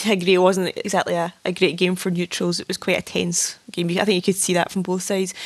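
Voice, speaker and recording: Speaking at a fairly quick pace with hardly any pauses, a woman with a Scottish accent uses a medium pitch and monotone, flat intonation. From Scotland. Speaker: football club staff. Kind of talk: casual chat. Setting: video call.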